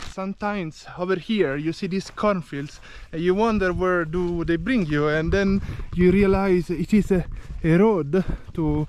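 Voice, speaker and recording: Dry and free of echo, a man's high voice keeps a fairly even intonation over light background noise. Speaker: travel vlogger. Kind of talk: casual vlog chat. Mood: cheerful, laughing. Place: open country. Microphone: phone near.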